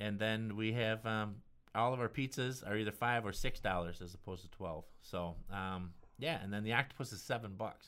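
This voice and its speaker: An unremarkable speaking voice, delivered at a moderate pace. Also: man, fairly low pitch for a man, ordinary pitch variation. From US Midwest, northern Illinois near Chicago. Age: 50s. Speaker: chef and restaurant owner. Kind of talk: casual interview chat.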